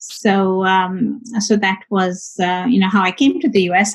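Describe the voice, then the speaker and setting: A woman with a somewhat breathy voice. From India. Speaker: high tech executive. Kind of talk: interview. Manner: hesitant, many fillers.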